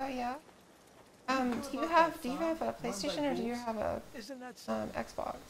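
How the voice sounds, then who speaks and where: A woman mumbles at a moderate pace in a high pitch, with ordinary pitch variation, long and frequent pauses, and noticeable background noise. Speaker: video game streamer. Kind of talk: casual chat. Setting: live stream. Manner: mumbling; soft-spoken.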